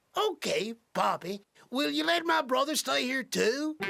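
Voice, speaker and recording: A man does a cartoonish character voice at extremely high pitch, swinging very widely in pitch while keeping loudness very even. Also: moderate pace. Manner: irritable, petulant.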